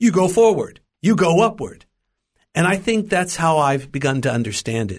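Against a quiet background, a man with an American accent speaks fairly slowly in a somewhat breathy, fairly high voice that makes very wide pitch swings. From US, Los Angeles. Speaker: preacher and Bible teacher. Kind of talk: interview, testimony. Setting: studio.

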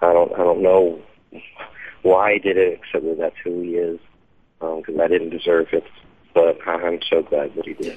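A man with an American accent at a moderate pace, with long, frequent pauses. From Dallas, Texas. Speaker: singer songwriter. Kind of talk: radio interview. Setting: phone call.

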